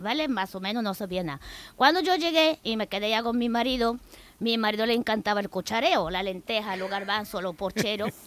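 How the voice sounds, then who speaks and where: A woman speaks at a fairly quick pace and a fairly high pitch, with lively intonation. The recording is very clean, and the background is silent. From Bulgaria. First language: Bulgarian (speaking Spanish). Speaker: immigrant guest. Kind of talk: radio interview.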